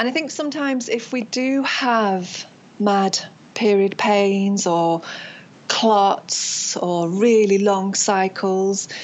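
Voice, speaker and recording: At a very slow pace, a woman with a British accent speaks at medium pitch with ordinary pitch variation. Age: 40s. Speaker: acupuncturist and craniosacral therapist. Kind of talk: interview.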